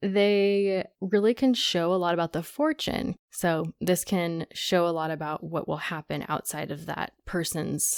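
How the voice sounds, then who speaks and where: A woman with a fairly low pitch and an ordinary speaking voice talks fairly slowly in a very clean recording with a silent background, the sound dry and close with no echo. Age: 20s. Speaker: astrologer. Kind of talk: casual chat.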